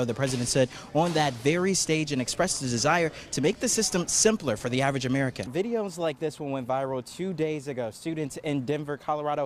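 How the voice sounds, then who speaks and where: A man speaks at a fairly quick pace in an unremarkable speaking voice with lively intonation. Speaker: multimedia journalist. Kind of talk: TV news reporter. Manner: live, fluid delivery.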